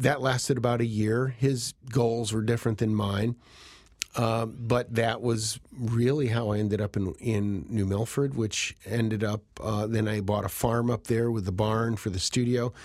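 At a fairly slow pace, a man speaks in a medium pitch with fairly even intonation. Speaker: photographer. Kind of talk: interview. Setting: studio.

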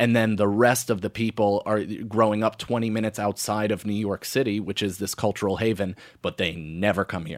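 On a very clean recording with a silent background, a man speaks at a fairly low pitch in an unremarkable speaking voice. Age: 30s. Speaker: stand-up comedian. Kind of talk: casual chat.

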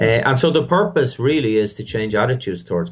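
A man with an Irish accent, fairly low in pitch, at a moderate pace against a quiet background. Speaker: maths festival founder. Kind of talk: interview.

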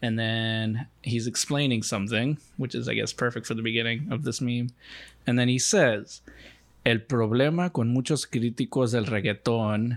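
A man with an American accent talks in an unremarkable speaking voice at a moderate pace, medium pitch and fairly even intonation. The recording is very clean with a silent background. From Mexico (Los Mochis, Sinaloa), raised in the US from age four. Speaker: immigration organizer and podcast co-host. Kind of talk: casual chat.

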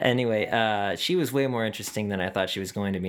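Recorded very cleanly against a silent background, a man has a normal speaking voice with a fairly low pitch and ordinary pitch variation. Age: 20s. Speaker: podcast host and touring musician. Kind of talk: casual chat; monologue intro. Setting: in person, at a festival; alone in his room.

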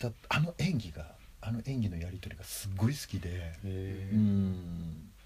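With a very deep, low pitch and a somewhat breathy tone, a man talks at a fairly slow pace with ordinary pitch variation. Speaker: film enthusiast co-host. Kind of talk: casual chat.

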